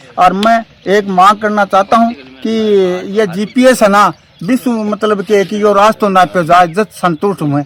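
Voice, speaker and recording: Over noticeable background noise, a man speaks in a high pitch, the sound dry and close with no echo. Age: 60s. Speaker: farmer. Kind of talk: interview. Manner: animated; halting.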